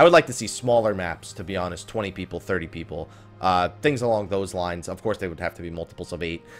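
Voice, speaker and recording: A man's very deep, low voice at a very fast pace, with ordinary pitch variation, big swings in loudness, and music in the background. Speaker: gaming commentator. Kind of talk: casual talk to camera. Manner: low energy.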